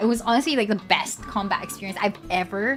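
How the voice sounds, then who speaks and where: Against music in the background, a woman with a fairly high pitch speaks at a fairly quick pace. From Philippines. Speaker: vtuber streamer. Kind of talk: casual livestream chat. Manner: quiet, soft-spoken.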